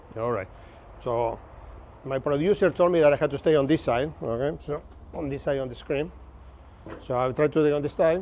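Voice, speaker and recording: A man with a strong Argentine accent at a fairly quick pace, fairly high pitch and ordinary pitch variation, with long, frequent pauses and light background noise. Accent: Argentinian Spanish accent, strong. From Argentina, Buenos Aires. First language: Spanish. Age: 50s. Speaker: navigation instructor. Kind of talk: lecture. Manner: casual, conversational.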